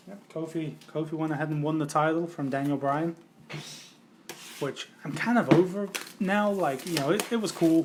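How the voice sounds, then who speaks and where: A man with an English accent speaks at a moderate pace in a fairly high pitch, with ordinary pitch variation, big swings in loudness, long and frequent pauses, and noticeable background noise. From England. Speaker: trading card case breaker, streamer. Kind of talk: casual live stream chat.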